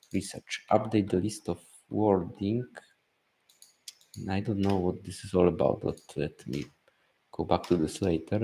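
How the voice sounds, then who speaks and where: Mumbling at a fairly slow pace, a man speaks with a dark, mellow tone that is somewhat breathy, fairly low in pitch, with ordinary pitch variation. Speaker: business coach streamer. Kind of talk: live stream screen-share walkthrough. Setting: live stream with screen share. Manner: halting.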